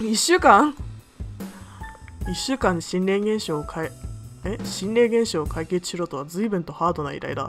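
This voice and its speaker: A moderate pace over music in the background. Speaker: game streamer. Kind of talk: let's play commentary and reading game text aloud.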